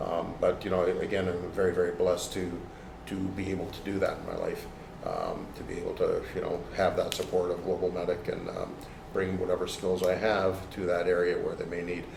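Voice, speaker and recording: A man with a Canadian accent speaks at a moderate pace amid audible room echo and noticeable background noise. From Toronto, Canada. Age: 60s. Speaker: martial arts instructor and aid worker. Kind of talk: interview conversation. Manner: halting, many fillers and repeats.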